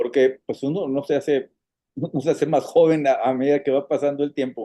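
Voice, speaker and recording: A man's fairly high-pitched voice with a dark, mellow tone, a Monterrey accent, fairly even intonation and a fairly quick pace. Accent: northern Mexican (Monterrey). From Monterrey, northern Mexico. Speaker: foundation president, patient advocate. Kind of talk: casual interview conversation. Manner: hesitant, many fillers and repetitions.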